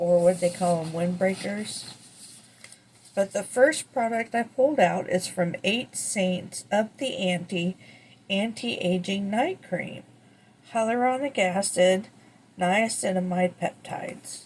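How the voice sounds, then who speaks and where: A soft-spoken woman with a somewhat breathy, medium-pitched voice talks very slowly with ordinary pitch variation. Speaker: beauty vlogger. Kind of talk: product unboxing review. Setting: at home early morning.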